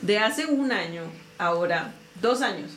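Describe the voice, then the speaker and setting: Room echo is audible, and background noise is noticeable. The woman's pitch varies in an ordinary way. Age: 30s. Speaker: lawyer. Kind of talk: casual chat.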